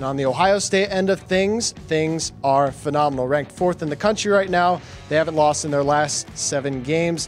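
Faint music plays in the background while a man talks. His pace is moderate, with hardly any pauses and ordinary pitch variation. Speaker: digital sports host. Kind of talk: sports preview presentation. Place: studio. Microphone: handheld.

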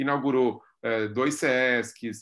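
The tone is bright and sharp, over a quiet background. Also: man. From Brazil, São Paulo. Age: 40s. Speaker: art curator and philosophy professor; philosophy professor. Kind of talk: interview. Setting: video call. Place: home room. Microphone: video call.

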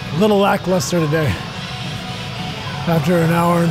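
Clear music plays in the background. A man talks at a fairly quick pace. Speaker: athlete vlogger. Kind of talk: casual vlog chat. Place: gym. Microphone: phone near.

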